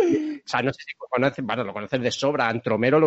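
Here a man talks at a medium pitch. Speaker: podcast host. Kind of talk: casual interview chat. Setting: video call.

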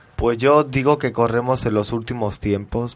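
In an unremarkable speaking voice, a man talks at a moderate pace with medium pitch and fairly even intonation. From France. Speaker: guest. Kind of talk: casual radio chat.

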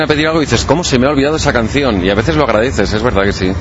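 Through noticeable background noise and audible room echo, a man speaks at medium pitch with lively intonation. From Spain, Catalonia (Balaguer, Lleida). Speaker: DJ. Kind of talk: interview. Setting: outdoors in a parking lot.

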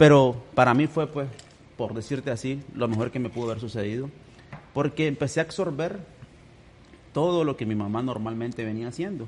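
Long, frequent pauses break up a man's fairly quick speech, delivered in a medium pitch with ordinary pitch variation. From Nicaragua (Managua). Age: 30s. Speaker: businessman. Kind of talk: casual chat.

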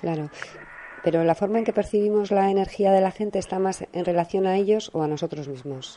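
A woman's pitch varies in an ordinary way as she speaks fairly quickly amid noticeable background noise. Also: medium pitch for a woman. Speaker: radio host. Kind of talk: interview. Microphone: voice too quiet for guest.

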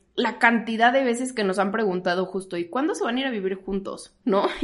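Here is a woman with a normal speaking voice. Her pitch is fairly high and her intonation is lively. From Mexico, Toluca. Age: 30s. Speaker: spiritual healing podcast host. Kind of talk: casual chat.

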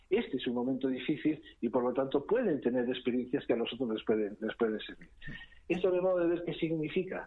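A man at medium pitch, fairly quick in pace, with an ordinary speaking voice. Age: 60s. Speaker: foundation trustee. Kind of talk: interview.

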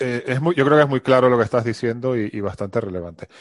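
An ordinary speaking voice from a man, medium-pitched with ordinary pitch variation and a fairly quick pace, the sound dry and close with no echo over a quiet background. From Venezuela. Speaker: podcast host. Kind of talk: interview.

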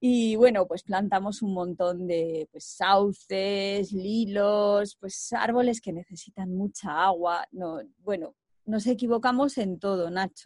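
In a dry, close recording with no echo, a woman speaks at a very slow pace with ordinary pitch variation and big swings in loudness. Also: medium pitch for a woman. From Spain, Segovia. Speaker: co-founder of a reforestation project. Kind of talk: interview.

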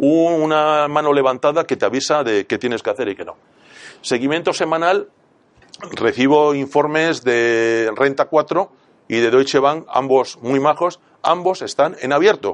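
Using a normal speaking voice, a man with a fairly high pitch talks at a fairly slow pace with ordinary pitch variation. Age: 60s. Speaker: private investor. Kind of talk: talk to live audience.

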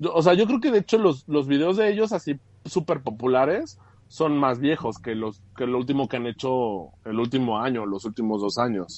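Very wide pitch swings from a man, pitched in the medium range. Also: moderate pace. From Mexico, raised in Aguascalientes. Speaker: graphic designer and adult content creator. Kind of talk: casual chat.

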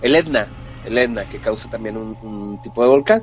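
The man's medium-pitched voice comes through noticeable background noise. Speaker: podcast co-host. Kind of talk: casual chat.

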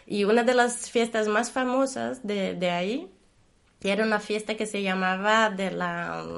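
A woman speaks in a Portuguese accent at a fairly high pitch. Her pace is fairly slow and her intonation fairly even. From Brazil. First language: Portuguese (speaking Spanish). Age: 40s. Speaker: guest commentator. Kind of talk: casual interview. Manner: halting, with repetitions.

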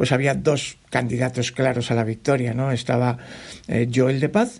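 A man's medium-pitched voice with ordinary pitch variation. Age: 50s. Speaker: trail running podcaster and mountain runner. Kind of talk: solo podcast monologue, personal race report. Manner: animated; repetitive fillers and restarts.

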